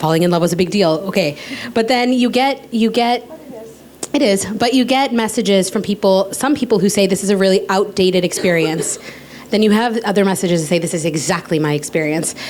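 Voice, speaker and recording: A woman at medium pitch and a fairly quick pace, with lively intonation, very even loudness and noticeable background noise. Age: 30s. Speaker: author and podcaster. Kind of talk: panel discussion.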